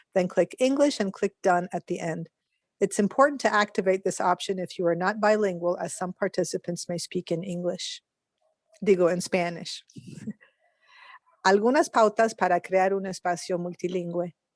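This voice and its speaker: In a dry, close recording with no echo, a woman talks at medium pitch with ordinary pitch variation. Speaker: interpreter. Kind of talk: bilingual announcement. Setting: video call. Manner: fast.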